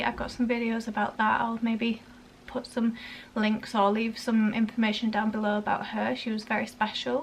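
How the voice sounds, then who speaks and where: With a Yorkshire accent, a woman talks at a fairly high pitch. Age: 20s. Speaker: parenting vlogger. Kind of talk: casual vlog talk. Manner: casual, halting with fillers.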